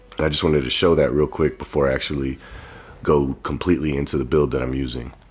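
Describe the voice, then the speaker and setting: A man speaks very fast in a very deep, low voice with vocal fry. His intonation is flat and monotone. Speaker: gaming streamer. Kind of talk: game commentary livestream.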